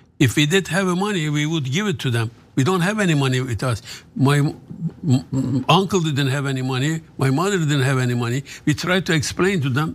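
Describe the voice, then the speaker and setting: At a fairly quick pace, a man with a Turkish accent speaks in a fairly high pitch with ordinary pitch variation. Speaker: author. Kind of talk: casual interview. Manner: halting.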